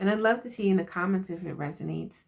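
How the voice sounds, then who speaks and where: A woman speaks at a medium pitch. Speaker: spiritual card reader and self-care coach. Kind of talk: inspirational message to camera. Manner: casual, laughing.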